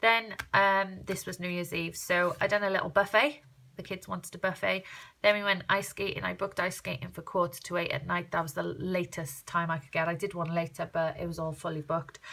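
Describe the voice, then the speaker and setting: Speaking in a South Wales accent at a fairly quick pace, the voice has a bright, sharp tone with vocal fry and ordinary pitch variation. The recording is very clean, with a silent background. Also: woman, fairly low pitch for a woman. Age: 30s. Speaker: crafter vlogger. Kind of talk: casual vlog walkthrough. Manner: fast; chatty.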